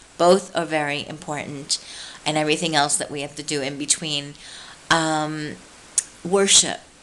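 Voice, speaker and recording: A woman's very deep, low-pitched voice at a moderate pace, monotone and flat, with big swings in loudness, long, frequent pauses and noticeable background noise. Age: 50s. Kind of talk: devotional talk to camera. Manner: relaxed.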